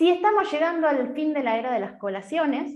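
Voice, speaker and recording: Very wide pitch swings at a moderate pace in an Argentine accent. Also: woman. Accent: Argentine Spanish (Rioplatense). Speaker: nutritionist. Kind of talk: online talk/workshop.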